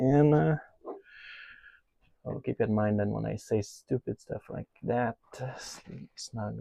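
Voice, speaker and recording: A man speaks with a non-native accent in a dark, mellow, somewhat breathy tone. His intonation is lively, his pace fairly slow, with long, frequent pauses. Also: big swings in loudness. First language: not English. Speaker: DIY RV tech vlogger. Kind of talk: casual hands-on tutorial. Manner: hesitant, many filler uhs.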